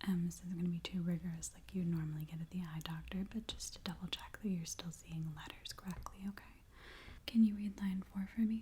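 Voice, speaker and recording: A woman's soft-spoken whisper at a fairly quick pace. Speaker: ASMR creator playing an urgent care doctor. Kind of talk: ASMR medical role-play, soft spoken exam. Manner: soft-spoken, calming, whispery.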